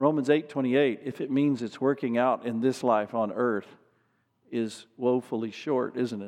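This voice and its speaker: This is a plain, everyday voice at a moderate pace. Its intonation is fairly even, over a quiet background. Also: man, medium pitch for a man. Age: 50s. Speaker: pastor. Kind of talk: sermon.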